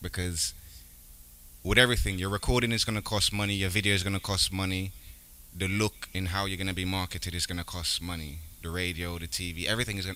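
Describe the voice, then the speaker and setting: A man speaks at a very fast pace with a very deep, low pitch. His tone is bright and sharp, and his intonation stays fairly even. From Jamaica and Brooklyn, US. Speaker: rapper, musician. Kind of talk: interview.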